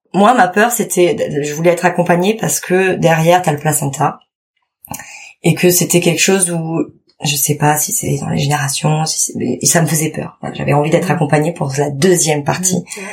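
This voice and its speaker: The speaker is a woman with an unremarkable speaking voice and a fairly low pitch. She moves at a moderate pace with ordinary pitch variation. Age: 30s. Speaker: mother sharing birth story. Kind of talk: testimony.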